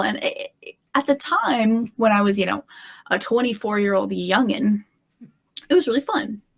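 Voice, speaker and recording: A woman with a fairly high pitch and an American accent speaks at a moderate pace in a dry, close sound with no echo. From US Midwest, Illinois. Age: 30s. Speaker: guest. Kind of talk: casual chat.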